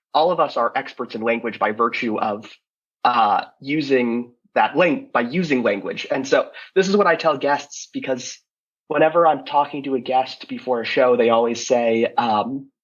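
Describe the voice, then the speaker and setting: An ordinary speaking voice from a man with an American accent, moderate pace and ordinary pitch variation. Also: medium pitch for a man. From United States. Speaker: podcast co-host. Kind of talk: casual interview chat.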